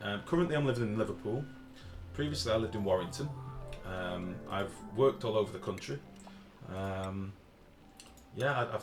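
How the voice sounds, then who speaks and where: Over music in the background, a man with a fairly low pitch and lively intonation speaks at a fairly quick pace, broken by long, frequent pauses. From Liverpool area, north-west England. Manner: casual, hesitant, many fillers.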